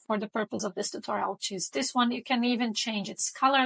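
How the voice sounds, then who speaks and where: A woman speaks in a high voice with ordinary pitch variation. The sound is dry and close, with no echo. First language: Portuguese. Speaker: design tutorial creator. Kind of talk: tutorial. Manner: casual, with frequent fillers.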